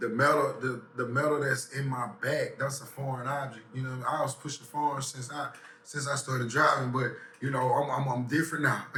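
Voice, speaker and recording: Noticeable background noise and audible room echo fill this recording. A man talks at a fairly high pitch in a flat monotone. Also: fairly quick pace. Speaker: rapper. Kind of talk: interview. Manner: halting, repetitive fillers.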